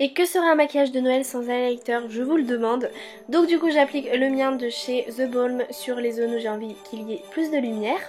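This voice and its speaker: A woman talks in a high voice. Background music accompanies her. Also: ordinary pitch variation, moderate pace. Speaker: beauty vlogger. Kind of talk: casual voice-over for a makeup tutorial.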